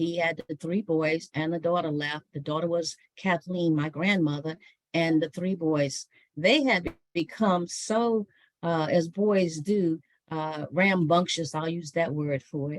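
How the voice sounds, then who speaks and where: Heard with a dry, close sound and no echo, a woman with a normal speaking voice talks at a fairly slow pace, her pitch fairly low with ordinary variation. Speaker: author and historian giving a talk. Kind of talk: online book talk.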